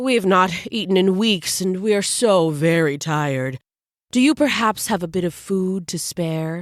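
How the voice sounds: Delivered at a moderate pace, a shaky, put-on character voice comes through on a very clean recording with a silent background. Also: woman, medium pitch for a woman.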